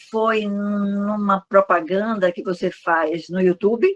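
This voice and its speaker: Dry and close with no echo, a woman's medium-pitched voice moves at a very slow pace with ordinary pitch variation. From Brazil, Salvador, Bahia. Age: 70s. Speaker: online course student. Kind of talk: interview.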